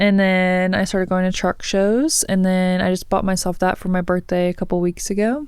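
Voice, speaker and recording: A soft-spoken woman with an American accent talks at a moderate pace and medium pitch, with fairly even intonation, very even loudness, and hardly any pauses, in a very clean recording with a silent background. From southwest Missouri. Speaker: personal trainer and athlete. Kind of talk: casual interview chat.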